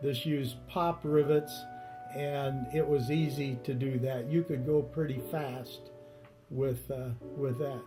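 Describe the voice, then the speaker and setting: Over music in the background, a man speaks very slowly in a relaxed, monotone, flat way at a medium pitch. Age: 70s. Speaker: retired army pilot, kit plane builder. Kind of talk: interview answer. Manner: relaxed, hesitant.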